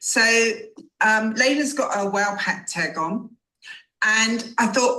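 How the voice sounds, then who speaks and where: With an English accent, a woman talks in a bright, sharp tone at a fairly high pitch. Her intonation is lively and her pace fairly slow. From England. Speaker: customer sharing testimonial. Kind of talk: testimony.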